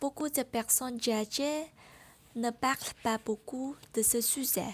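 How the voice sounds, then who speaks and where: A woman with a Vietnamese accent speaks at a very slow pace. Her pitch is high and her intonation fairly even. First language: Vietnamese (speaking French). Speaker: French learner vlogger. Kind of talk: personal vlog monologue.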